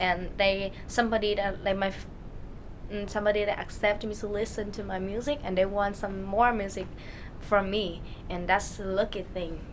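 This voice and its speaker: In a Vietnamese accent, a woman speaks at a moderate pace and medium pitch with monotone, flat intonation, with audible room echo and noticeable background noise. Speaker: singer, talent show contestant. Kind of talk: interview. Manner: halting.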